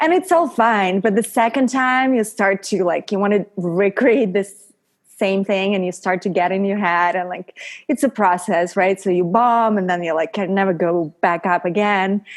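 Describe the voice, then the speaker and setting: A woman speaks at a moderate pace with a Russian accent. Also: medium pitch for a woman, ordinary pitch variation. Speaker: model, actress and stand-up comedian. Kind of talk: podcast interview.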